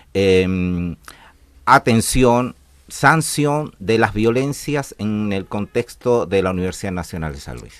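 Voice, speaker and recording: A very slow, fairly low-pitched male voice in a Chilean accent, with lively intonation and big swings in loudness, on a very clean recording with a silent background. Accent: Chilean accent, still noticeable. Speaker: university violence prevention coordinator. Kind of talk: radio interview. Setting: radio studio. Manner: hesitant, many fillers.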